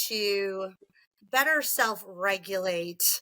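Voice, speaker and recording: The voice is loud, with a bright, sharp tone. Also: woman. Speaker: franchise development executive. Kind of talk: interview. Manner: animated.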